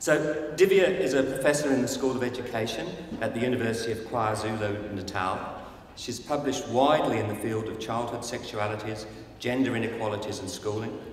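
The speech moves at a fairly quick pace with ordinary pitch variation. Light background noise and an audible room echo are present. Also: man. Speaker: conference host introducing keynote speaker. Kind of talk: speaker introduction. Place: hall. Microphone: podium.

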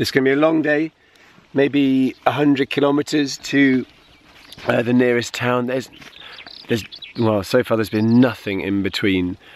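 Over noticeable background noise, a man of medium pitch talks at a moderate pace with ordinary pitch variation and long, frequent pauses. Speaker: long-distance touring cyclist. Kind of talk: casual video message to camera.

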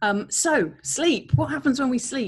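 Over a quiet background, a woman speaks somewhat breathily with very wide pitch swings. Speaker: presenter. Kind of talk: lecture. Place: home room. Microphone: webcam.

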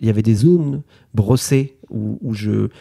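His voice sits at a middle pitch, and this man's pitch rises and falls in a normal way. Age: 30s. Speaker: illustrator and author. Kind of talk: interview. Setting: artist's studio. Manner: hesitant, many fillers.

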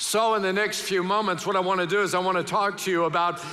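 With a raised, projected voice, a man speaks in fairly even intonation. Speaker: pastor. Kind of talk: sermon. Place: church. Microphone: headset.

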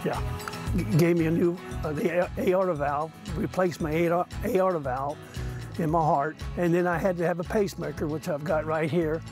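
A man with an American accent talks at a moderate pace in a fairly high pitch, his intonation fairly even. The sound is dry with no echo, and clear music plays in the background. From southern Illinois. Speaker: softball umpire. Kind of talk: interview answer. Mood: warm, reminiscing. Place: stadium. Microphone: lapel.

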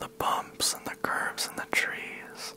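Someone male is whispering. Light background noise can be heard. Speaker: ASMR storyteller. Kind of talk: soft-spoken personal storytelling. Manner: close-mic whisper, slow and eerie. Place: home room. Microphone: handheld.

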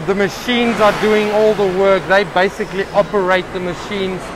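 Over clear background noise, a man talks at a moderate pace with high pitch and fairly even intonation.

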